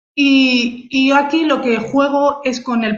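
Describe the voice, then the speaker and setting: A woman speaks very slowly in a Spanish accent. Her intonation is monotone and flat. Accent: Peninsular Spanish. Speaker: photographer. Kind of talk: online talk presenting her photography. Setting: video call livestream. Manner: halting, many fillers and repetitions.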